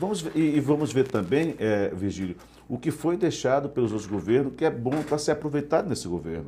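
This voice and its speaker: A man talks at a fairly quick pace with very wide pitch swings. His dark, mellow tone carries vocal fry. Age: 50s. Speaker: journalist and interview host. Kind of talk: interview conversation. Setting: live web broadcast.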